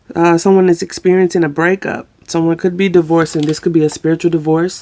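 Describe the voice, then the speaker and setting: Fairly low in pitch, a woman's dark, mellow voice moves with fairly even intonation. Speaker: tarot reader. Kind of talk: tarot reading. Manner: casual, conversational.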